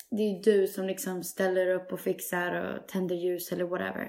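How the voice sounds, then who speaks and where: A woman speaks with vocal fry. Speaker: podcast host. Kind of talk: casual chat.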